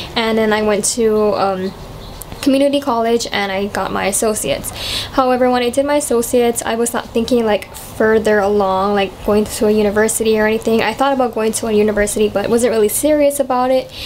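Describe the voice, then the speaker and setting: A woman talking very fast in a fairly high voice, fairly even intonation, and noticeable background noise. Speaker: vlogger, college student. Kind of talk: casual chat. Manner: casual, many fillers.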